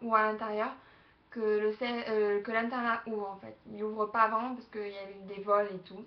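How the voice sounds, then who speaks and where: A woman speaks at a fairly high pitch and a moderate pace. Her intonation is monotone and flat. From southern France, Aix-en-Provence. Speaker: vlogger. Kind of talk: casual webcam vlog. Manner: hesitant, many fillers.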